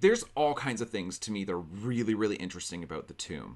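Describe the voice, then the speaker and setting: A man talks with vocal fry. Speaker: book vlogger. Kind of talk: book discussion vlog. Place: home room. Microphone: studio mic.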